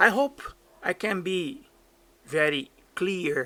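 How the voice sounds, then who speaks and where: A man with a Portuguese accent speaks in a bright, sharp tone on a very clean recording with a silent background. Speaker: DJ and streamer. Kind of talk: tutorial. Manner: halting.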